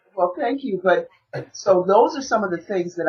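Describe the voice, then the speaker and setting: A woman's somewhat breathy, medium-pitched voice with lively intonation and an American accent. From US Midwest, Milwaukee. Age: 50s. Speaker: raw vegan chef and health coach. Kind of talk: interview.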